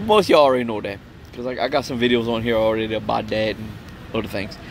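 A man's very fast speech in a Cajun accent, fairly even in intonation, dry with no echo, with faint music in the background. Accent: Cajun Louisiana English. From Louisiana Cajun country, Opelousas; Louisiana. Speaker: vlogger, Marine veteran. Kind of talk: casual storytelling monologue. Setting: outdoors at a campsite. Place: open country. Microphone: phone near.

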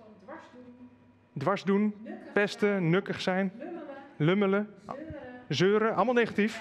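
Over light background noise, a man speaks at a high pitch and a very slow pace, with ordinary pitch variation, big swings in loudness, and long, frequent pauses. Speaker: event moderator. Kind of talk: moderated panel conversation. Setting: live stream with chat. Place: studio. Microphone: headset.

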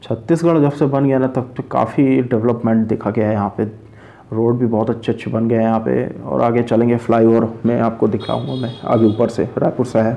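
His intonation holds fairly even. The man keeps to a moderate pace. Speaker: travel vlogger. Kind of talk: casual vlog chat. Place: car. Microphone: phone near.

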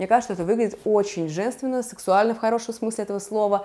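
A woman talks at a very fast pace. Her tone is dark and mellow. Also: quiet background. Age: 30s. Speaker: fashion stylist, video blogger; video blogger. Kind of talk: casual vlog, styling tutorial. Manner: animated. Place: home room. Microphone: lapel.

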